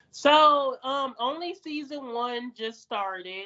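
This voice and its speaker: A woman with a Detroit accent speaks with ordinary pitch variation. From US, Detroit. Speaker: adult film performer and podcaster. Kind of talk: casual chat. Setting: video call.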